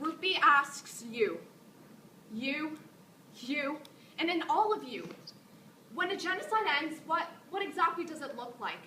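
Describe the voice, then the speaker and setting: Pitched high and projecting loudly, a woman talks with a bright, sharp tone, lively intonation, big jumps in volume, and long, frequent pauses. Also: fairly slow pace. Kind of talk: spoken word poetry performance. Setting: live stage performance. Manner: raw, intensely emotional.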